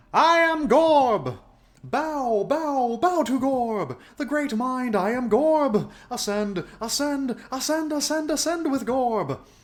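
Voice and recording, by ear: Using a put-on character voice, a man speaks at an extremely high pitch and a very slow pace.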